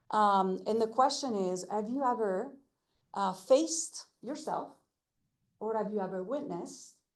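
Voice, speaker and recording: Room echo is audible as the woman talks at a moderate pace. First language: not English. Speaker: language access advocate. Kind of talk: presentation. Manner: halting with many fillers.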